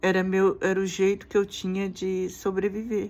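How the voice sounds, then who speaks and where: A woman at a medium pitch and a fairly slow pace. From Brazil. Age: 60s. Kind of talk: personal testimony. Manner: halting.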